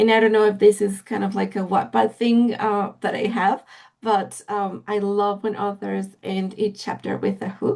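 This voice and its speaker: Against a quiet background, a woman with a Spanish accent talks at a moderate pace in a flat monotone. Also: medium pitch for a woman. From Mexico. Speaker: literary agent. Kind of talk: interview. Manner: halting, many fillers.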